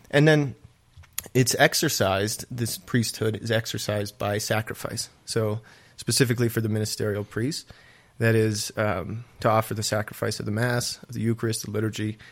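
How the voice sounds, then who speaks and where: Using a plain, everyday voice, a man talks at a moderate pace with medium pitch and fairly even intonation. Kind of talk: casual chat about faith. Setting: studio.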